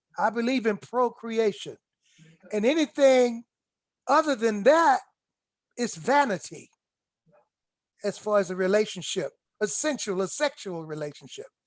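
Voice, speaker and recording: Speaking with an American accent, a man talks at a high pitch, leaving long, frequent pauses. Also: lively intonation, moderate pace. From South Carolina. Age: 60s. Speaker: author and historian. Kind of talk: casual conversation. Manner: halting, repetitive stammering.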